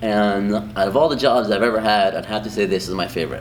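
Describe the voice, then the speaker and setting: A man speaks at a fairly low pitch with a Spanish accent. Audible room echo surrounds his voice. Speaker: high school Spanish teacher. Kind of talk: interview answers. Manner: casual, many filler ums.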